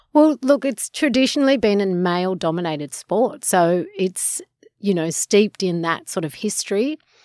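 In an Australian accent, a woman talks at a medium pitch and a moderate pace, her pitch swinging very widely. The sound is dry and close with no echo, on a very clean recording with a silent background. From Sydney eastern suburbs, Australia. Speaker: surf school owner. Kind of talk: interview.

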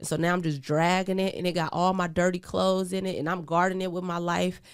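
Heard in a very clean recording with a silent background, a woman with an American accent speaks fairly quickly at a fairly low pitch with fairly even intonation. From US Pacific Northwest, Portland, Oregon. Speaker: podcast host, person in recovery from addiction. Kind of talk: personal testimony in casual interview. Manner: hesitant, many fillers.

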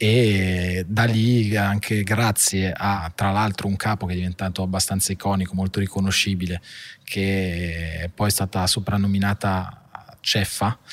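A man speaks in a fairly low voice. His intonation stays flat and monotone. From northern Italy, Monza (Brianza). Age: 30s. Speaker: family business executive. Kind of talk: interview. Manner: halting.

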